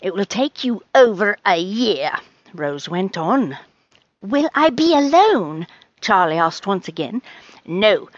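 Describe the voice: This is plain reading aloud. Behind it, the background stays quiet.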